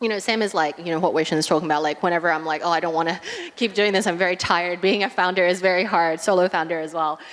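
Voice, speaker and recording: Over noticeable background noise, a woman with a fairly low pitch speaks at a very fast pace with fairly even intonation. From New Zealand. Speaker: media startup founder, panelist. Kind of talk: panel discussion.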